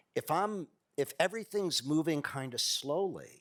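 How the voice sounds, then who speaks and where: A man's fairly high voice at a very slow pace, ordinary pitch variation, in a very clean recording with a silent background. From US Midwest, Ohio. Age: 60s. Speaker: workshop leader, political organizer. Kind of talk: workshop talk.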